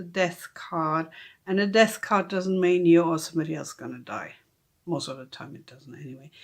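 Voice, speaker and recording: On a very clean recording with a silent background, a woman speaks in a German accent at a moderate pace. Her voice is fairly low, with big swings in loudness. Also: ordinary pitch variation. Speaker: tarot reader. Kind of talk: casual unboxing tutorial. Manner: hesitant, many fillers.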